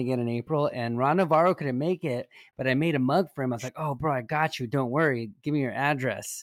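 A man speaks in a normal speaking voice, fairly high-pitched for a man, with ordinary pitch variation. The recording is very clean, with a silent background. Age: 40s. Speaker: podcast co-host. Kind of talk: casual chat.

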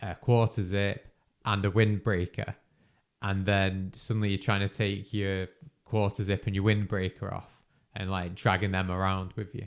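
Speaking in a British accent, a man with a fairly low pitch talks at a moderate pace in a monotone, flat intonation. The recording is very clean with a silent background. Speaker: podcast host and runner. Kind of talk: casual chat. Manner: casual, conversational.

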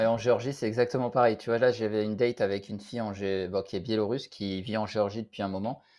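Against a quiet background, a man with a fairly low pitch talks at a very fast pace with hardly any pauses. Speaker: podcast host. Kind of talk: casual chat.

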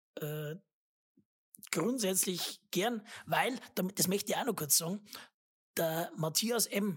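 At a very slow pace with long, frequent pauses, a somewhat breathy woman of medium pitch speaks with lively intonation. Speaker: podcast host. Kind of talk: casual chat.

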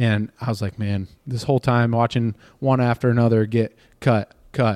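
A man speaks at a moderate pace in an unremarkable speaking voice, medium in pitch, with a dry, close sound, no echo, and a very clean recording over a silent background. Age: 20s. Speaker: baseball pitcher. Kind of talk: casual chat. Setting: spring training site.

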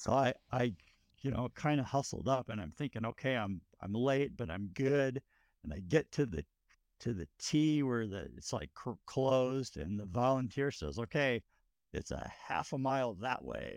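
In an unremarkable speaking voice, a man talks at medium pitch and a moderate pace with lively intonation, on a very clean recording with a silent background and a dry, close sound with no echo. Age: 50s. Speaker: runner and race crew member. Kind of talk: casual chat.

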